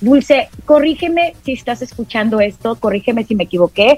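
With music in the background, a woman speaks in an animated tone with ordinary pitch variation. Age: 40s. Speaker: radio host and astrologer. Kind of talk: casual chat.

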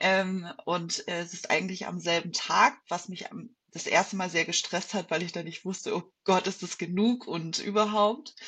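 Using an unremarkable speaking voice, a woman of medium pitch talks at a fairly slow pace with fairly even intonation. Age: 30s. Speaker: bodybuilding athlete. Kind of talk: casual chat.

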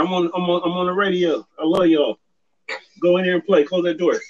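A man talks at a very fast pace in a high voice with a strong West Coast accent. His loudness stays very even throughout. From US West Coast, Sacramento, California. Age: 50s. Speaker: podcast guest. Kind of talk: casual chat. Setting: phone call.

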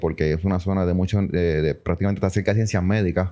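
A man with a fairly low pitch and ordinary pitch variation, an ordinary speaking voice, on a very clean recording with a silent background. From Puerto Rico. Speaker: business association president. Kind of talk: casual interview. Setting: association offices.

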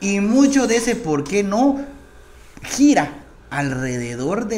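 Amid noticeable background noise and audible room echo, a man's pitch swings very widely. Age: 40s. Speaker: congressman. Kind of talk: interview.

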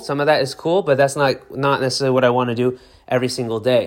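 Here is a man with a plain, everyday voice. He talks at a fairly quick pace and a fairly high pitch. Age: 30s. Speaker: lawyer and podcast host. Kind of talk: solo podcast monologue. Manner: casual, conversational with fillers.

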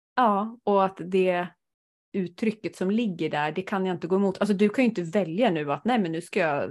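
Recorded very cleanly over a silent background, a woman with a normal speaking voice talks at a fairly quick pace in a medium pitch, with ordinary pitch variation. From rural Sweden. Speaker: podcast host, human design reader. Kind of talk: casual chat.

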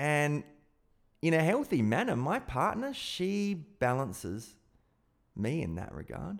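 Pausing long and often, a man with a fairly high pitch talks at a fairly slow pace while his pitch swings very widely. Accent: Australian. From South Australia. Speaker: podcast host, hypnotist and personal development coach. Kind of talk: solo podcast monologue.

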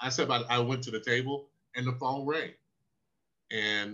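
Speaking with a Southern US accent, a man keeps a medium pitch. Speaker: former pro football linebacker. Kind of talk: interview storytelling.

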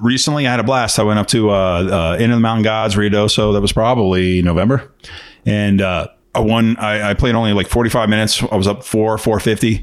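A man with a plain, everyday voice talks fairly quickly at a fairly low pitch, with very even loudness and fairly even intonation. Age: 50s. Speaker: podcast co-host. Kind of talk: casual chat.

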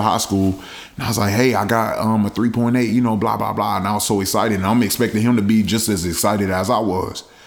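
A man's fairly low, animated voice, fairly quick, with ordinary pitch variation and audible room echo. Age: 20s. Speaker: podcast guest. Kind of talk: casual chat.

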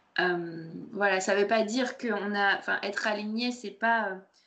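At a fairly slow pace, a woman speaks with a medium pitch and a bright, sharp tone. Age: 30s. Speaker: podcast host, personal development. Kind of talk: recorded masterclass, conversational presentation. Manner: hesitant, many fillers.

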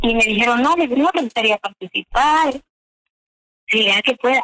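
A woman's voice with ordinary pitch variation and a dry, close sound with no echo. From Yucatán, Mexico (Chumayel). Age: 60s. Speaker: contest winner, adult learner. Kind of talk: radio interview testimony.

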